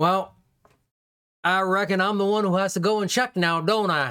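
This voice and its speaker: In a put-on character voice, the speaker drawls at a moderate pace and middle pitch, on a very clean recording with a silent background. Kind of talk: comic character acting. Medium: actual play. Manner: drawling, folksy, boastful.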